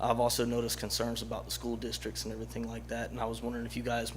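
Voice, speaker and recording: Speaking with an American accent, the voice carries vocal fry and a monotone, flat intonation, with audible room echo. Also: man. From US South. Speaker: retired military, student, resident. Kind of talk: public comment at city council meeting.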